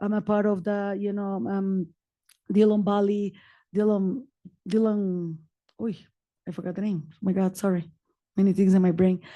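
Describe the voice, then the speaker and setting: Long, frequent pauses from a woman with a dark, mellow tone and a non-native accent, over a quiet background. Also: medium pitch for a woman, moderate pace. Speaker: community advocate and nonprofit founder. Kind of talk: personal testimony at a public meeting. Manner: animated.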